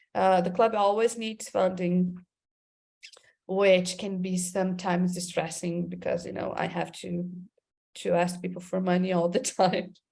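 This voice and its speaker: A woman speaks with a Portuguese accent at a medium pitch. Her pace is fairly slow. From Brazil, Amazon region. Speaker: creative director. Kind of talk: interview. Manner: halting, many repeated words.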